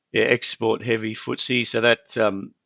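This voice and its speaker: A man is speaking. He has an Australian accent. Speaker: market analyst, trading live-stream host. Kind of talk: live market analysis stream. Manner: casual, conversational with fillers.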